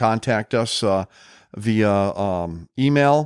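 Recorded very cleanly with a silent background and a dry, close sound with no echo, a man with an Upper Midwest US accent speaks at a medium pitch. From Upper Peninsula of Michigan and Wisconsin. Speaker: retired police officer, podcast host. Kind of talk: casual chat.

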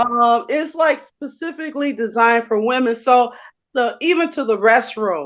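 At a fairly slow pace, a woman with an American accent speaks in a high voice. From Chicago, west side. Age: 60s. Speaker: gym member, transit driver. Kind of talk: casual interview. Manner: hesitant, many fillers.

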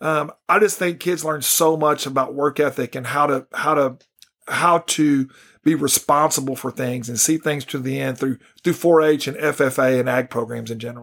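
With a Texan accent, a man speaks at a moderate pace and a fairly high pitch, keeping his intonation fairly even. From North Texas, Ellis County farm town. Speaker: school superintendent. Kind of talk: interview.

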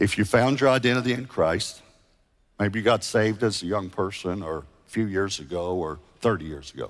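This man talks at a fairly quick pace. His pitch is fairly low, with ordinary variation. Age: 60s. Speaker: megachurch pastor. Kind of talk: sermon; altar-call invitation to repent, pastoral and intimate. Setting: church stage with congregation, multiple campuses online. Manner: conversational and gently earnest; halting with frequent restarts and repeated words.

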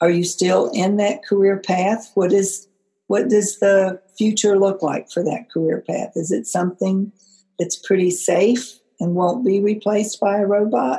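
Her voice is somewhat breathy, with a dark, mellow tone. The woman speaks at a fairly slow pace with ordinary pitch variation. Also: medium pitch for a woman. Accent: American. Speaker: career coach, former school librarian. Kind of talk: podcast monologue.

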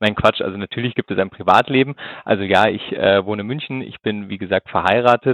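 A man at a fairly quick pace, fairly low in pitch, with ordinary pitch variation. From Swabia, southern Germany (Ulm). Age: 30s. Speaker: insurance executive. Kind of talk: interview. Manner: hesitant, many fillers.

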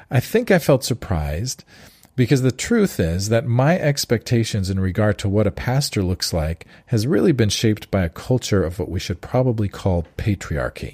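A man's fairly low, somewhat breathy voice at a moderate pace, dry and close with no echo, on a very clean recording with a silent background. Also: lively intonation. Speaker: podcast host. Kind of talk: interview conversation.

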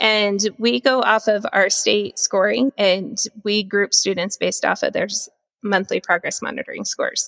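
A woman's voice in a dry, close sound with no echo, at a moderate pace. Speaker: teacher and interventionist. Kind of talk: casual interview conversation. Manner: calm.

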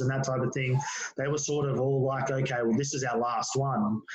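A man with an Australian accent speaks in a flat monotone at medium pitch, with audible room echo and noticeable background noise. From Australia, Penrith (western Sydney). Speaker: former touch football player and school teacher. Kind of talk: casual interview chat.

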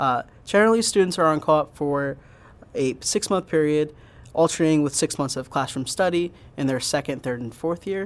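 Speaking at a fairly quick pace with an American accent, a man has a normal speaking voice, a fairly high pitch, and ordinary pitch variation. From Pennsylvania, US (Pottstown). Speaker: engineer. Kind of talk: interview. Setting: on campus, in person.

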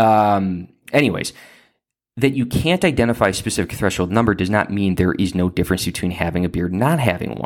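A man with a Chicago accent speaks fairly low at a fairly quick pace, with ordinary pitch variation. The recording is very clean with a silent background. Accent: Chicago-area American. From northern Illinois, Lake County. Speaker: civil rights attorney and podcast host. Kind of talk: monologue commentary.

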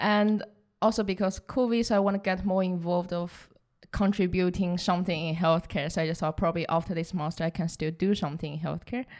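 The speech moves very fast with fairly even intonation, recorded very cleanly against a silent background. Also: woman, medium pitch for a woman. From southern China. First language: Chinese. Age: 20s. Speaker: recent graduate and operations analyst. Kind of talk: interview.

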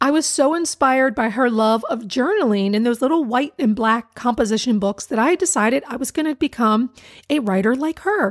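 The intonation is lively and the pace fairly quick. The sound is dry and close, with no echo. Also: woman. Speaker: DIY blogger and podcast host. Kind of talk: casual solo podcast monologue. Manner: chatty, laughs often.

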